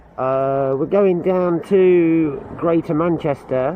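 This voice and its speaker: A man at a very slow pace, with ordinary pitch variation and noticeable background noise. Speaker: magnet fishing vlogger. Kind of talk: casual vlog chat. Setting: outdoors by a canal.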